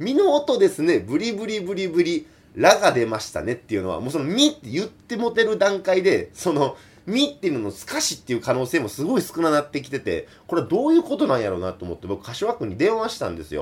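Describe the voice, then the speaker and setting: A man speaks in a Kansai accent. His pace is very fast. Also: big swings in loudness. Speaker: folk singer. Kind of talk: solo radio talk. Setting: remote recording.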